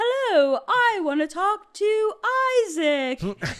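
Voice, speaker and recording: Here is a put-on character voice with an extremely high pitch. It moves at a very slow pace. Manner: disguised.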